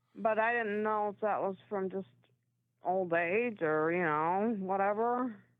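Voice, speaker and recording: At a fairly slow pace, a woman talks in a medium pitch. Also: ordinary pitch variation. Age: 60s. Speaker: caller. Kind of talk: casual chat. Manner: halting.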